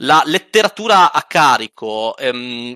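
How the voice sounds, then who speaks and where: With very wide pitch swings, a man's bright, sharp tone comes through in a dry, close sound with no echo. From Italy, not Sardinia. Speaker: game designer and roleplaying gamer. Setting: video call.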